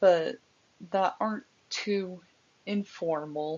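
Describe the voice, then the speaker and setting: Her voice sits at a medium pitch for a woman, rising and falling in an ordinary way. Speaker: university student. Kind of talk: class presentation. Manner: halting.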